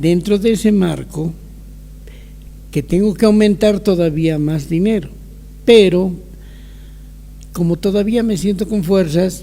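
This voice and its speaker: Speaking at a fairly slow pace with long, frequent pauses, a man keeps a high pitch and fairly even intonation. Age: 70s. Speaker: older adult giving testimony. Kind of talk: testimony. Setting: video call.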